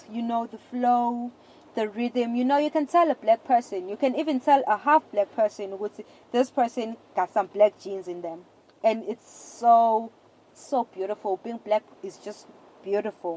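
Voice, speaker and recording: A woman with a fairly high pitch and a dark, mellow tone speaks at a moderate pace with ordinary pitch variation and big swings in loudness, in a dry, close sound with no echo. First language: not English; a South African language. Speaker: podcast host. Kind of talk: casual monologue. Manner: halting, with many repeated words and false starts.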